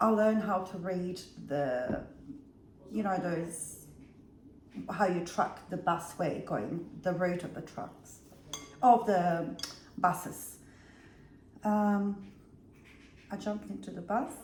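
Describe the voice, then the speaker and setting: A woman with a medium pitch and ordinary pitch variation speaks at a very slow pace, with long, frequent pauses and big swings in loudness. Background noise is noticeable, and room echo is audible. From Bosnia. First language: Bosnian. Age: 50s. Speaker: vlogger. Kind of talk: casual storytelling vlog.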